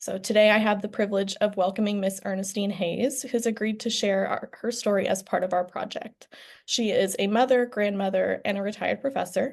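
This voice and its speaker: At a fairly quick pace, a woman with a normal speaking voice and medium pitch keeps her intonation fairly even. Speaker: law student interviewer. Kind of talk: interview questions.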